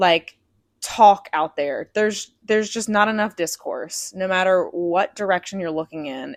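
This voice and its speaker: A woman talks at a moderate pace with a medium pitch and an ordinary speaking voice. The recording is very clean, with a silent background. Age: 30s. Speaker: podcast host. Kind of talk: solo podcast monologue; scripted show intro.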